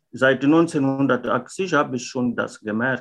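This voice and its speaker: This man talks at a very slow pace with a bright, sharp tone and ordinary pitch variation. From Mozambique. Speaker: former contract worker. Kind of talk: interview testimony. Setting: video call. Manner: halting, with fillers.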